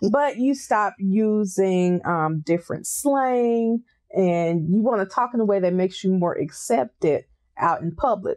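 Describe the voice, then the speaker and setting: Speaking with a strong Southern US accent, a woman talks at a fairly slow pace with very wide pitch swings. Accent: deep Southern US. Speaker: mental health counselor. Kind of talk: interview chat.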